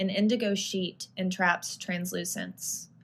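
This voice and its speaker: Somewhat breathy and medium in pitch, a woman speaks at a fairly slow pace on a very clean recording with a silent background. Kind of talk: poetry reading.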